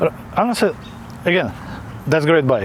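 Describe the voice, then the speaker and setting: A man with a non-native accent against noticeable background noise. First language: not English. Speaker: product reviewer. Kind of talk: product review. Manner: halting, many fillers; casual.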